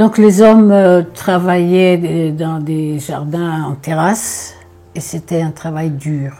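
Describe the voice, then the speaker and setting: This woman speaks very slowly in a fairly low pitch. Her tone is dark and mellow, and her intonation is fairly even. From Corsica. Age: 80s+. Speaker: elderly storyteller recalling childhood. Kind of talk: personal reminiscence. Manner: halting, many hesitations and repetitions.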